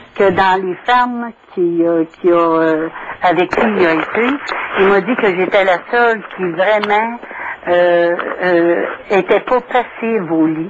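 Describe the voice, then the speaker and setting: A woman's medium-pitched voice at a very slow pace, long, frequent pauses, ordinary pitch variation, and noticeable background noise. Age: 60s. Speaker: caller. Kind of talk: call-in testimony.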